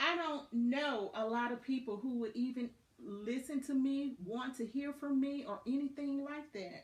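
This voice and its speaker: A woman's high voice in a Southern US accent, fairly slow, with ordinary pitch variation. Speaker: motivational podcast host. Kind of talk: motivational talk. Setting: Facebook live video. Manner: animated.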